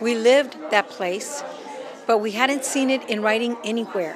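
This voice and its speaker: Amid crowd noise and audible room echo, a woman speaks fairly slowly at a fairly high pitch with ordinary pitch variation. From El Paso, Texas. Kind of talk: interview. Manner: loud.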